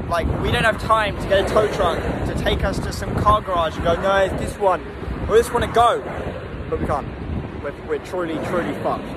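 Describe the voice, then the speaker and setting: A man talks at a moderate pace over loud background noise. The sound is dry, with no echo. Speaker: vlogger. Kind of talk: casual vlog chat. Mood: stressed but joking. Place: street. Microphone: phone near.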